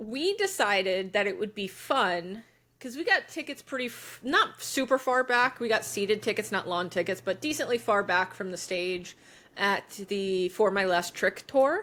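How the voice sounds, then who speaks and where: Bright and sharp in tone, a woman's fairly high voice carries lively intonation at a moderate pace. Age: 30s. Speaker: podcast co-host. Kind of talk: casual chat.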